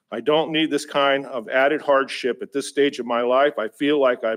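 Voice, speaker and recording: A man at a moderate pace. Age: 60s. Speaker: member of the public giving testimony. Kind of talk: public comment at a government meeting. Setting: public assembly meeting. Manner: halting, with frequent fillers and restarts.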